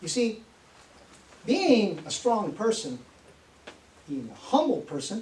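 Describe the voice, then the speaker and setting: Over noticeable background noise, a man speaks in a high voice. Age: 60s. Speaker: motivational speaker. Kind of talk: motivational talk.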